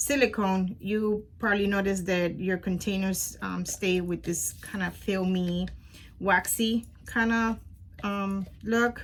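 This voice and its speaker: Speaking at a very slow pace with a Spanish accent, the voice is somewhat breathy and fairly even in intonation, on a very clean recording with a silent background. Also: woman, medium pitch for a woman. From Puerto Rico. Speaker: crafting youtuber. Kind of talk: tutorial. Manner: casual, hesitant with many fillers.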